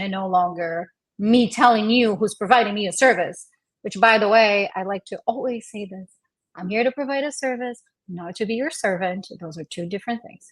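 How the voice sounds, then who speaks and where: Speaking at a fairly quick pace, a woman has a fairly high pitch with ordinary pitch variation. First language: not English. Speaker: podcast guest, small business owner. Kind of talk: casual podcast conversation.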